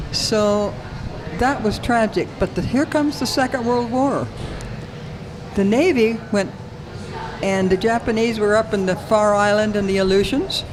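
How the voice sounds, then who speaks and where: Spoken at a moderate pace with long, frequent pauses, this voice keeps a very even loudness and ordinary pitch variation, with audible room echo and noticeable background noise. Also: woman, fairly high pitch for a woman. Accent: American. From Alaska, US. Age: 80s+. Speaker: retired racing driver. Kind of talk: interview storytelling. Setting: loud coffee shop.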